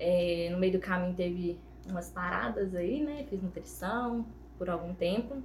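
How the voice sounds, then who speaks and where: A woman at medium pitch, fairly slow and with ordinary pitch variation, amid noticeable background noise and audible room echo. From Minas Gerais, Brazil (Ponte Nova, Viçosa). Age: 20s. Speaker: confectioner, small business owner. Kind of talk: casual podcast interview.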